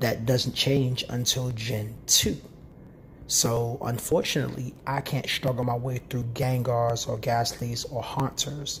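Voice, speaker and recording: Animated in tone, a man talks at a fairly slow pace and medium pitch. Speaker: gaming YouTuber. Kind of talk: gameplay commentary. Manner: halting, stumbling over words; casual, animated.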